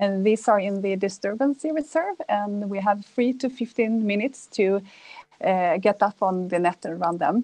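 A woman speaks at a fairly slow pace with ordinary pitch variation. Her tone is dark and mellow. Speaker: energy company business developer. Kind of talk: panel discussion. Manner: halting, many fillers. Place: home room. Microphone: earbuds.

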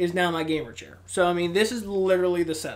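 The speaker is a man with a high pitch. Light background noise can be heard. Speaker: gaming youtuber; gaming channel host. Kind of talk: casual vlog monologue. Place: home room.

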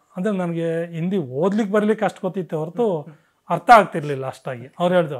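This man's voice sits high in pitch, with ordinary variation. The background is quiet. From Karnataka, Hassan district (Alur taluk); Karnataka. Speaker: retired army veteran. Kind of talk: interview storytelling. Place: home room. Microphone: lapel.

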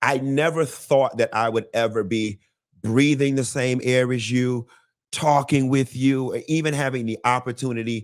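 A man's voice comes through over a quiet background. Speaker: interview host. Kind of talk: interview host introduction. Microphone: studio mic.

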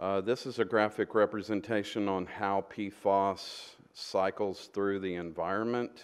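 A man's fairly low voice moves along at a very slow pace. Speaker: presenter. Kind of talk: presentation to council. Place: meeting room.

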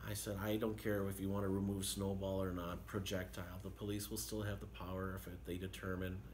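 Over light background noise, a man speaks with a very deep, low pitch and ordinary pitch variation. He is somewhat breathy and leaves hardly any pauses. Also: fairly quick pace. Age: 50s. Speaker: city mayor. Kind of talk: radio interview. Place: office. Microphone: phone near.

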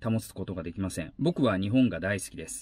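Fairly low-pitched, a man talks at a moderate pace. The sound is dry with no echo, and the background is quiet. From Aichi, Japan. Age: 40s. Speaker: YouTuber and former actor; travel vlogger. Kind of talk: vlog monologue; casual vlog monologue on social issues. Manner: hesitant with many fillers. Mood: earnest, thoughtful. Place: car.

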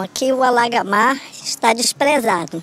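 A woman speaks at a very slow pace. Her high pitch rides on lively intonation. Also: dry sound with no echo. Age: 70s. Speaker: retired resident interviewee; interviewee. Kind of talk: news interview. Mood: complaining, concerned. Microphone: handheld.

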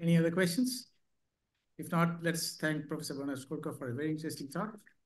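A man with a fairly high voice talks very fast, his pitch varying in an ordinary way. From India. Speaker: session chair and statistician. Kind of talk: formal introduction. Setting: stage with audience. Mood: polite, formal. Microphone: video call.

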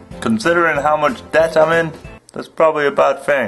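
Music plays faintly behind the voice. The speaker is male. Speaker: vlogger. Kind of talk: casual vlog chat. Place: home room. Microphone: webcam.

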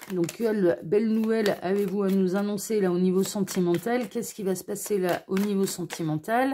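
A woman speaks at a moderate pace with a medium pitch. Her tone is dark and mellow. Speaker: tarot card reader. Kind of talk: tarot reading video. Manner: gentle, kind intonation.

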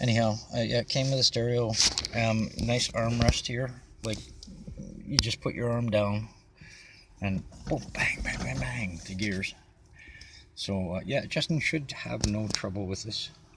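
A man speaks at a fairly slow pace with long, frequent pauses and ordinary pitch variation. The sound is dry with no echo, and background noise is noticeable. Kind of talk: casual vlog chat. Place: car. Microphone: phone near.

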